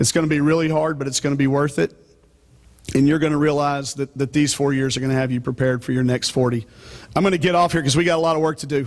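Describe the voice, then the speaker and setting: A man's fairly high voice moves at a very fast pace. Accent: Southern US. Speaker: college basketball coach. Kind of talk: speech at press conference. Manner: animated.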